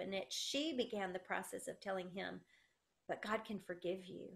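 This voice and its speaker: A woman with a Southern US accent talks at a moderate pace with ordinary pitch variation. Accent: Southern US, country. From South Carolina. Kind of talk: interview, testimony. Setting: video call.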